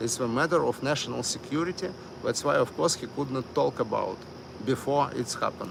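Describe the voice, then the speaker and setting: In a Russian accent, a man speaks at a moderate pace with a medium pitch and ordinary pitch variation over noticeable background noise. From Miami. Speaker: live streamer. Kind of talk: live stream commentary. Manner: halting, many fillers.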